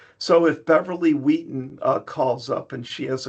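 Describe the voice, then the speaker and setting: A somewhat breathy voice at a moderate pace. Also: man. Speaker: software presenter. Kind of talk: product demo webinar. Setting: online webinar. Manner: many filler ums.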